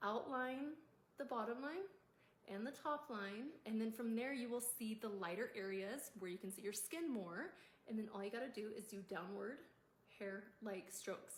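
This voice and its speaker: A woman speaks at a moderate pace in a fairly high pitch with ordinary pitch variation. It is a plain, everyday voice. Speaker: makeup tutorial creator. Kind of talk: tutorial.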